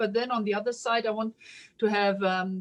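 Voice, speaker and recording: A woman with a German accent. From Germany. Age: 50s. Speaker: police officer. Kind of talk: interview answer. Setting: video call.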